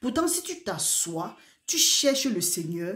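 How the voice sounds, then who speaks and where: Very wide pitch swings from a woman at a fairly high pitch and a very slow pace. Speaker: preacher. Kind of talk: sermon. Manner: soft-spoken.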